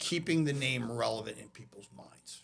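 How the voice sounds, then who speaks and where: With vocal fry and fairly even intonation, a man speaks at a moderate pace. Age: 50s. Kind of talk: podcast interview.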